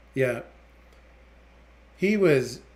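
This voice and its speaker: Very slow speech from a man with an American accent. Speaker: gaming streamer; military veteran streamer. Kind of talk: live gameplay stream chat. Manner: rambling casual.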